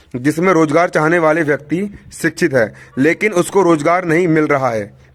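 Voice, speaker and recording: This man has a high-pitched voice and talks at a moderate pace. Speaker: teacher. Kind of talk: lecture.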